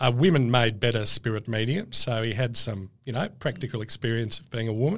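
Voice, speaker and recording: Speaking with an Australian accent, a man moves at a fairly quick pace with medium pitch, ordinary pitch variation and big swings in loudness. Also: hardly any pauses. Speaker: author, historian. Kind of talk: casual interview chat.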